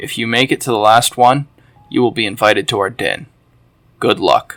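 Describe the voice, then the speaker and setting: Doing a raspy put-on character voice, a man talks at a medium pitch and a moderate pace. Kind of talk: vintage cartoon narration. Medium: read story. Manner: campy, preachy.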